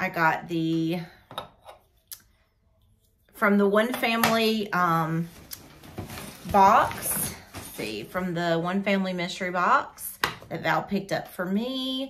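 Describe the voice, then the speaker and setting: A woman speaks at a very slow pace, with long, frequent pauses. Her intonation is lively, and light background noise sits behind her. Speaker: hobby vlogger. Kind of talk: casual vlog chat. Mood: excited, cheerful. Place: home room. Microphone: phone near.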